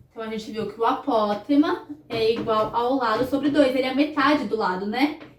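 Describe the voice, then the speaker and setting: With music in the background, a woman talks at a fairly slow pace, her high pitch showing ordinary pitch variation. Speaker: math teacher. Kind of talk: recorded lesson.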